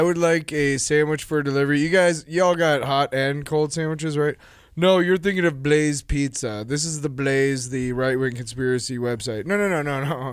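Speaking at a moderate pace with hardly any pauses, a man uses a normal speaking voice pitched fairly high. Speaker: podcast host. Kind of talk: casual chat, joking. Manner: joking, interrupts often.

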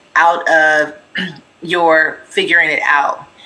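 A woman with an American accent and a fairly low pitch speaks over noticeable background noise. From US West Coast, Pasadena area, California. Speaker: business owner and author. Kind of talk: interview.

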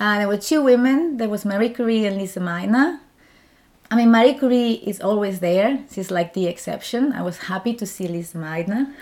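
Someone talks at a fairly quick pace with lively intonation and a strong Spanish accent. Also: woman, medium pitch for a woman. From Spain. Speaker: doctoral researcher. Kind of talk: interview.

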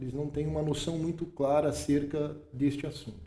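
Dark, mellow tone from a man pitched fairly high, somewhat breathy. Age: 40s. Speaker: pastor and theology teacher. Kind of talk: casual theological discussion.

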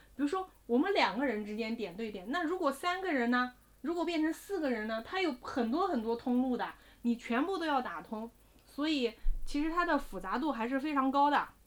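A woman speaks at a high pitch and a fairly quick pace, with very wide pitch swings. Noticeable background noise sits behind her. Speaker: investment podcast co-host. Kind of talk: casual chat.

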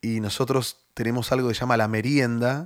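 In a very clean recording with a silent background, a man speaks at medium pitch. He has an unremarkable speaking voice and fairly even intonation. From Argentina, Buenos Aires. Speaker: youth pastor. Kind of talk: interview.

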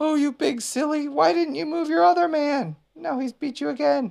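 A man's put-on character voice at an extremely high pitch, with vocal fry, a slightly mellow tone, ordinary pitch variation and a moderate pace

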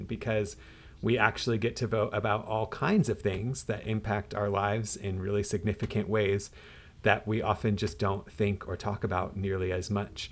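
A moderate pace and an unremarkable speaking voice. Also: man. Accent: American. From US Pacific Northwest. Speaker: campus pastor, podcast host. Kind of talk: interview.

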